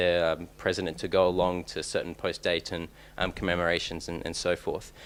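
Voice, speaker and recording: Fairly quick and very deep, a man speaks with an Australian accent. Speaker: PhD researcher, conference speaker. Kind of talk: conference talk. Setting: conference room with audience. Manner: hesitant, many fillers and restarts.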